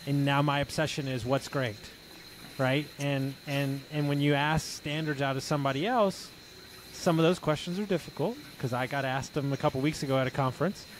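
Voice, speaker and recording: An unremarkable speaking voice from a man with an American accent, fairly high pitch, fairly quick pace and fairly even intonation. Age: 40s. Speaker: podcast host and mindset coach. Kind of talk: casual interview.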